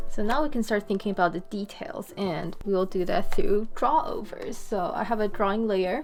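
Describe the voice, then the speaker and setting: Lively intonation at a moderate pace, with music in the background. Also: woman. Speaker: animator. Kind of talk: tutorial narration while screen recording. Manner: casual, hesitant with pauses.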